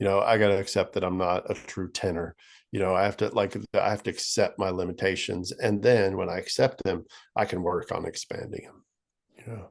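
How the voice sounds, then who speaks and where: A man talks at a fairly quick pace with big swings in loudness. The background is quiet. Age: 50s. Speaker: musician. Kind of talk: casual chat.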